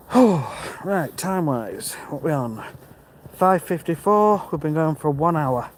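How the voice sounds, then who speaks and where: Through noticeable background noise, a man speaks at a fairly slow pace and fairly high pitch with lively intonation. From English East Midlands, Mansfield near Nottingham. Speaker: vlogger. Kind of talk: live-stream walk and talk, reading chat. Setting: outdoors walking, live stream. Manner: casual, chatty.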